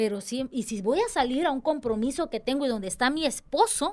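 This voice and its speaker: Speaking at a moderate pace, the woman has a high voice. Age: 30s. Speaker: church dance director. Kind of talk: casual chat. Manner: animated.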